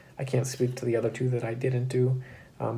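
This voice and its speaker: A man speaks in a somewhat breathy voice with monotone, flat intonation. Room echo is audible. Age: 20s. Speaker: cybersecurity graduate and YouTuber. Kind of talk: casual explainer to camera. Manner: casual with frequent fillers.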